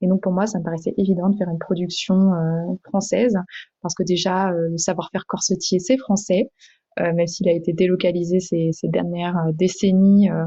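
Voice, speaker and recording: Somewhat breathy and dark, mellow in tone, a woman at medium pitch for a woman talks at a moderate pace with fairly even intonation. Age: 20s. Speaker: entrepreneur. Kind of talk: interview. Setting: podcast. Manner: hesitant, many fillers.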